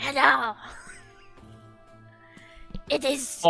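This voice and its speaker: Someone speaks in a put-on character voice. Clear music plays in the background. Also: female-sounding voice, high pitch for a woman. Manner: friendly, hosting.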